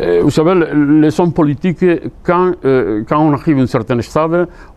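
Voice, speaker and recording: A man amid noticeable background noise. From Spain, Seville (Andalusia). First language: Spanish (speaking French). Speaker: painter. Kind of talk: interview. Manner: halting, with many repetitions.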